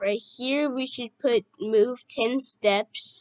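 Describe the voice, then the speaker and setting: A woman's very slow speech with ordinary pitch variation, dry and close with no echo. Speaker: youtube tutorial maker. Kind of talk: tutorial.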